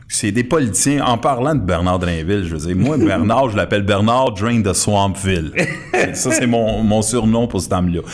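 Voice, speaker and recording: A man with a Quebec accent speaks at a moderate pace in a fairly low pitch with ordinary variation, amid noticeable background noise and audible room echo. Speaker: political commentator. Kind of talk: casual political talk show. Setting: studio.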